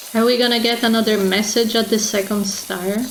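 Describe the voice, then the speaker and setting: Noticeable background noise sits behind a woman's voice. She speaks fairly high in a flat monotone. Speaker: video game streamer. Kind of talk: casual gameplay commentary.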